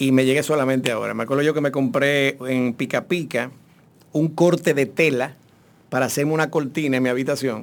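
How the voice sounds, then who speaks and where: A man talks at a fairly quick speed and fairly high pitch, keeping fairly even intonation in an ordinary speaking voice. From Dominican Republic, Santo Domingo. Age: 50s. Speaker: actor. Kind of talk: casual chat.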